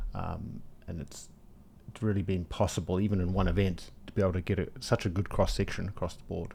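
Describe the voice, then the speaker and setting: A dark, mellow, somewhat breathy voice with a slight New Zealand accent, fairly even intonation and a fairly quick pace. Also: man, very deep, low pitch for a man. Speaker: event organizer. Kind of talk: casual chat.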